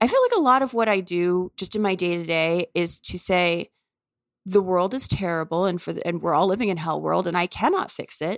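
A woman with an American accent talks at a moderate pace in a plain, everyday voice, her medium pitch showing ordinary variation. The sound is dry and close with no echo. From US South, New Orleans. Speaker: author. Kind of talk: interview conversation.

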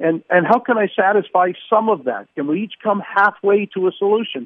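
The speaker is a man with a high-pitched voice. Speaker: town mayor, former MP. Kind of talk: casual interview.

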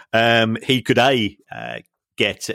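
In a London accent, a bright, sharp tone with vocal fry comes through dry and close with no echo on a very clean recording with a silent background. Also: man. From South London. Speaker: football finance academic, co-host. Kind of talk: casual podcast chat. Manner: halting, many repetitions.

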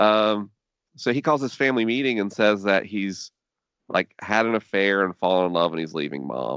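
A man with an unremarkable speaking voice talks in a fairly low pitch. His pace is moderate and his intonation lively. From US South, Tallahassee, Florida. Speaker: podcaster and faith writer. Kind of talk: interview conversation.

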